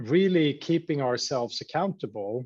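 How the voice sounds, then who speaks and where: A man with a Swedish accent, fairly high-pitched with lively intonation, at a fairly slow pace over a quiet background. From Sweden, Stockholm. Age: 40s. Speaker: company CEO. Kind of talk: interview.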